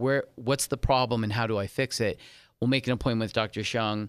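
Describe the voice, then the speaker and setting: The recording is very clean with a silent background. An unremarkable speaking voice talks with fairly even intonation. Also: man. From California, San Diego. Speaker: gynecologist. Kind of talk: interview. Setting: studio.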